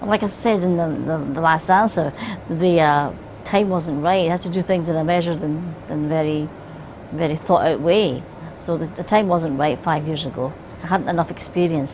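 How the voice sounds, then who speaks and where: A woman speaks at a moderate pace with a Scottish accent and a fairly low pitch. Her intonation is fairly even, and there is noticeable background noise. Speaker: singer. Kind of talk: interview answer.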